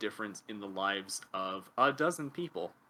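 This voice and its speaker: With lively intonation, a man speaks in an American accent and a bright, sharp tone. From US Pacific Northwest (North Bend, Washington). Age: 20s. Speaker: linguist and writer. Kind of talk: casual interview conversation.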